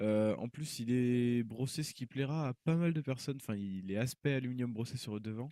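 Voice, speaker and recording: This man talks at a fairly quick pace with a dark, mellow tone. His pitch is medium with ordinary variation, on a very clean recording with a silent background. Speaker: tech YouTuber, PC hardware reviewer. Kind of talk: tutorial. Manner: hesitant, many fillers.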